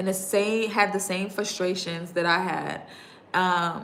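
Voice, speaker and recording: The speaker has an American accent and a monotone, flat delivery. Audible room echo and noticeable background noise fill the recording. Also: woman. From New York. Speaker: digital marketing coach. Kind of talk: livestream talk to viewers. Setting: YouTube livestream. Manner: fast.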